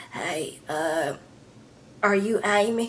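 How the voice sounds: A female-sounding, raspy put-on character voice sits at a medium pitch.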